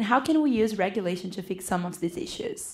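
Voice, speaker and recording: A woman talks at a fairly quick pace with a Portuguese accent. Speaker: student moderator. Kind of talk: speaker introduction.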